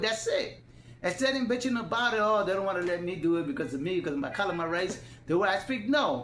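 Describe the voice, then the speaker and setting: Someone talks very fast with a non-native accent. Noticeable background noise runs underneath. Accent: non-native, difficulty with words. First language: Spanish (bilingual). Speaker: YouTube commentator. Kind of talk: casual monologue. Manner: loud; halting.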